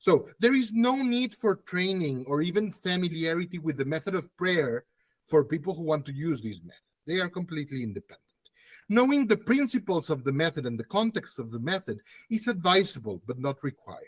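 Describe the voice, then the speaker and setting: A man talks at a fairly quick pace in a high pitch, his voice swinging very widely up and down. The sound is dry and close, with no echo. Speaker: academic conference speaker. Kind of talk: conference presentation.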